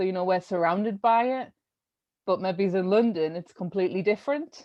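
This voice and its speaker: A woman speaks at a moderate pace with a strong North East English accent. Her pitch sits in the medium range. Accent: thick North East English. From North East England, Sunderland. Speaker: art curator. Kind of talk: interview.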